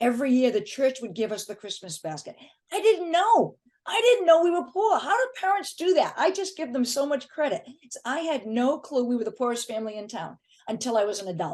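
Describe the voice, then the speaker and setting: A woman's high voice at a fairly quick pace, with very wide pitch swings and big swings in loudness. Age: 60s. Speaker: affiliate marketer and author. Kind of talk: podcast interview.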